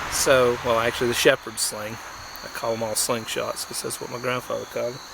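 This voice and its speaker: A fairly quick North Georgia accent over noticeable background noise. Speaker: outdoor craft hobbyist. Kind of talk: casual tutorial demonstration. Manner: casual, halting with fillers.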